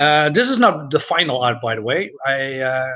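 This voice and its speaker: A man talks fairly slowly with a Dutch accent. His pitch sits in the medium range. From Netherlands, Groningen. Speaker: comics youtuber. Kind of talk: casual live stream review. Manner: halting, many fillers.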